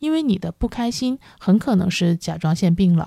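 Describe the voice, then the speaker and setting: A woman speaks at a moderate pace in a calm, dark, mellow tone, the sound dry and close with no echo on a very clean recording with a silent background. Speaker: podcast host. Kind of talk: solo podcast talk on wellbeing. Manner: calm, with frequent fillers.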